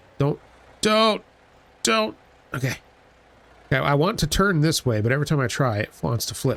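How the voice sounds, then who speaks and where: Long, frequent pauses break up this man's speech, which swings very widely in pitch while holding a very even loudness. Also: fairly high pitch for a man, moderate pace. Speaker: gaming video creator. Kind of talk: let's play commentary. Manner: casual, hesitant with fillers.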